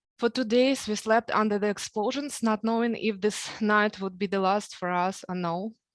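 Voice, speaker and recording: In a Ukrainian accent, a woman speaks at a moderate pace with fairly even intonation and hardly any pauses, over a quiet background. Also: fairly high pitch for a woman. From Ukraine. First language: Ukrainian or Russian. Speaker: program graduate. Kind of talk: speech.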